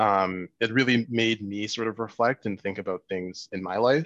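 An ordinary speaking voice with a Canadian accent and fairly even intonation. The sound is dry and close with no echo, and the background is quiet. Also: man. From Canada, Winnipeg. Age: 20s. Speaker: filmmaker. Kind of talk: interview.

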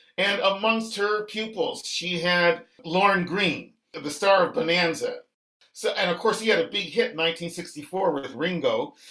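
A man's high-pitched, raised and projected voice at a fairly slow pace. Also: ordinary pitch variation. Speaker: poet and author. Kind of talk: radio interview. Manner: formal.

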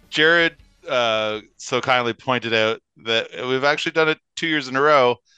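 Over music in the background, a man talks at a moderate pace and medium pitch with ordinary pitch variation, the sound dry and close with no echo. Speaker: radio co-host. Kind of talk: casual chat. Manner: animated, chatty.

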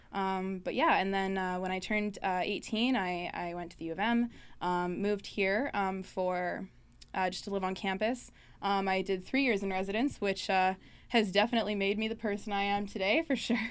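A woman has a normal speaking voice at a medium pitch. She talks at a moderate pace with fairly even intonation. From northern Manitoba, Canada. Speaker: student union executive. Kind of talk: casual chat. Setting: studio.

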